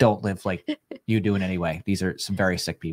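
This man's fairly low voice moves at a fairly quick pace with ordinary pitch variation against a quiet background. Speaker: co-host. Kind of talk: casual livestream chat. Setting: online livestream. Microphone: studio mic.

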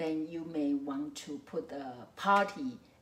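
Against light background noise and audible room echo, a woman with a Mandarin accent speaks at a fairly low pitch with very wide pitch swings. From Taiwan. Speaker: psychology professor; lecturer. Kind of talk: lecture. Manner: hesitant with frequent fillers. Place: home room.

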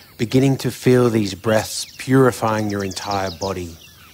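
A man's fairly low voice, gentle and soothing in tone, at a fairly slow pace with fairly even intonation and noticeable background noise. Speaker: meditation guide. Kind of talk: guided meditation. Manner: slow, soothing, calm; gentle, unhurried, with long pauses.

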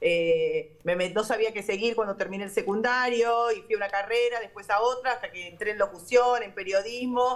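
With an unremarkable speaking voice, a woman talks fairly quickly at a fairly high pitch with ordinary pitch variation. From Argentina. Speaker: radio host. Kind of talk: casual chat. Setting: remote call from a radio studio. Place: studio. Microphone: video call.

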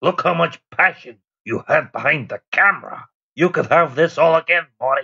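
In a put-on character voice with a Northern Irish accent, a man speaks at a fairly high pitch with a bright, sharp tone, vocal fry, a slightly husky edge and ordinary pitch variation. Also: moderate pace.

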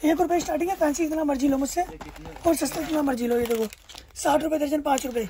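Speaking fast, a man with an extremely high pitch has a dark, mellow tone and fairly even intonation.

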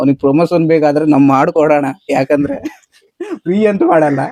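A man's fairly high-pitched voice with a dark, mellow tone and fairly even intonation. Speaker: travel vlogger. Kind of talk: vlog narration. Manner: casual, conversational.

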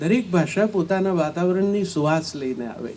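A man speaks with lively intonation. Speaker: poet and former radio announcer. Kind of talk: panel discussion.

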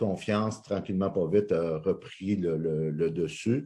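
A man with a Quebec accent speaks at a fairly slow pace with ordinary pitch variation. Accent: Québécois French. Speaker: motivational speaker and coach. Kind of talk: interview. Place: home room. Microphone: video call.

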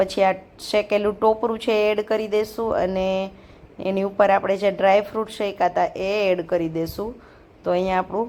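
The speaker is a woman with a medium-pitched voice. Her delivery stays monotone and flat. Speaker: vlogger. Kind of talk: casual vlog narration and cooking tutorial. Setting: home kitchen.

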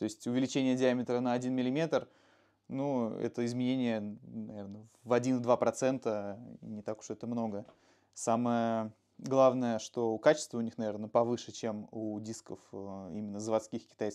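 The tone is dark and mellow, with fairly even intonation and big swings in loudness. Delivery is fairly slow over a quiet background. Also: man. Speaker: motorcycle mechanic; motorcycle mechanic host. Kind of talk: technical explanation. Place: garage. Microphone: lapel.

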